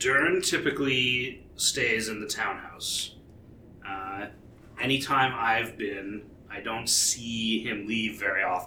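A put-on character voice from a man, medium in pitch and fairly slow, with clear background noise. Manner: brisk, matter-of-fact.

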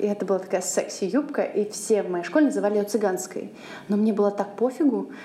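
A woman talks at a very fast pace with ordinary pitch variation. Noticeable background noise is audible. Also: medium pitch for a woman. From Russia, Saint Petersburg. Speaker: podcast host, charity program coordinator. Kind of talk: casual chat.

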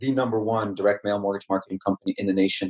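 A man speaks quickly in a normal speaking voice, fairly low and fairly even in intonation. The sound is dry and close, with no echo. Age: 30s. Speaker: tech entrepreneur. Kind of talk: podcast interview.

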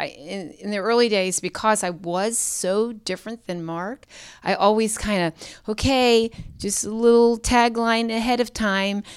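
A woman with an American accent, an unremarkable speaking voice and ordinary pitch variation, on a very clean recording with a silent background. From Pittsburgh, Pennsylvania. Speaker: pastor. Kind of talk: interview conversation.

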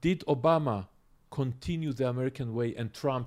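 On a very clean recording with a silent background, a man speaks at medium pitch with ordinary pitch variation and a slightly mellow tone.

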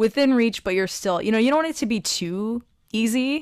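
A woman speaks in an ordinary speaking voice at a moderate pace with ordinary pitch variation. The recording is very clean, with a silent background. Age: 30s. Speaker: podcast host and personal trainer. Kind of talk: interview.

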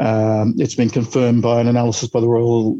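With an Australian accent, a man talks at a fairly quick pace. His medium-pitched voice has a dark, mellow tone. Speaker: epidemiologist. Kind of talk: interview.

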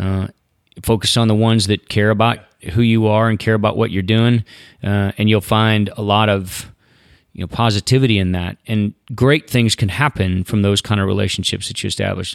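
A man with an American accent talks fairly quickly in a plain, everyday voice. His pitch sits fairly low and his intonation stays fairly even. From US Southeast. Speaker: rodeo announcer and military combat veteran. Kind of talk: casual interview. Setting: outdoors on a beach.

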